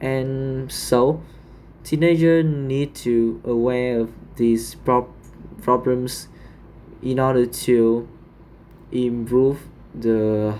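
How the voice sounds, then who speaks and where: Speaking with a Vietnamese accent, a man talks at a very slow pace with long, frequent pauses. His pitch sits in the medium range and his intonation is fairly even. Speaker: English learner. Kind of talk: speaking exam practice. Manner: halting.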